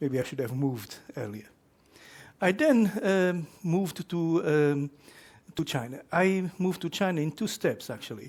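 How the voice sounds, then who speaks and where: Speaking with a Portuguese accent, a man uses a high pitch and lively intonation at a fairly slow pace. The recording is very clean, the background silent. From Portugal. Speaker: professor. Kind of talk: lecture. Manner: halting, with many fillers.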